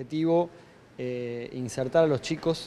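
A man talks with a dark, mellow tone and ordinary pitch variation. Light background noise sits underneath. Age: 40s. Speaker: tech industry representative. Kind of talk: news interview. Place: office. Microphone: handheld.

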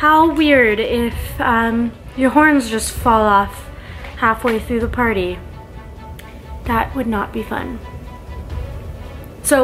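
A woman speaks with long, frequent pauses while clear music plays in the background. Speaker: makeup vlogger. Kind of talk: tutorial. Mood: light, chatty. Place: home room. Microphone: phone near.

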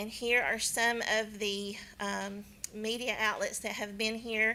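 Bright and sharp in tone, the voice carries a Southern US accent, fairly even intonation and a fairly slow pace. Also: woman. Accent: southern twang. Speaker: county elections official. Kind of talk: presentation at county board meeting.

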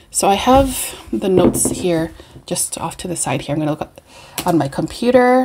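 A woman talks at a fairly slow pace, her pitch making very wide swings over light background noise. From Canada, Winnipeg. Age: 40s. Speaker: beauty and perfume vlogger. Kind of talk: casual chat. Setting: home video recording. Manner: relaxed, rambling with fillers. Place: home room. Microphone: webcam.

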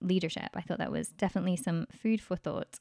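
In a dry, close sound with no echo, a woman talks at a very fast pace with a fairly low pitch and ordinary pitch variation. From UK. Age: young. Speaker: reporter. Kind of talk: interview.

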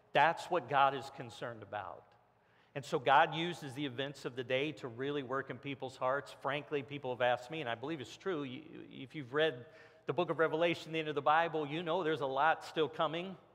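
A man at a fairly quick pace with fairly even intonation. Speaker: pastor. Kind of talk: sermon. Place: church. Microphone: headset.

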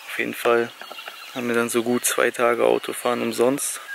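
Over noticeable background noise, a man talks at a fairly quick pace with a dry sound and no echo. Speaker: travel vlogger. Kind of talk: casual vlog chat. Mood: frustrated, resigned. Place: open country. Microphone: phone near.

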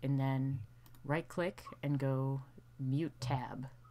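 Soft-spoken, a woman uses a very deep, low pitch as noticeable background noise runs behind her. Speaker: livestream host. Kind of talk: casual chat. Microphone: too quiet.

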